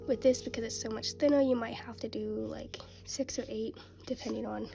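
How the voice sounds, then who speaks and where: A woman talks fairly quickly. Behind her, music can be heard. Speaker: crochet tutorial creator. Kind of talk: tutorial. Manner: hesitant, with fillers.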